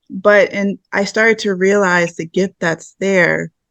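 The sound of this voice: Soft-spoken and slow, a woman talks with a fairly bright tone.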